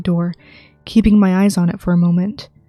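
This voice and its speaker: Music plays in the background as a woman talks at a medium pitch, the sound dry and close with no echo. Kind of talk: ASMR creepypasta reading, first-person horror narration.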